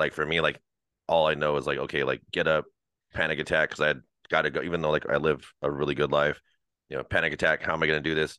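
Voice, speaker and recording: A man with an American accent races along at a very fast pace, his very deep, low pitch carrying vocal fry and a monotone, flat intonation. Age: 30s. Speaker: dog trainer. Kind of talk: casual chat.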